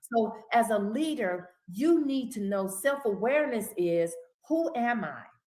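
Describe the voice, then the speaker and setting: Audible room echo surrounds a woman with a fairly high pitch. She speaks at a fairly slow pace with lively intonation. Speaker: minister and leadership teacher. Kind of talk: casual chat. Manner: commanding.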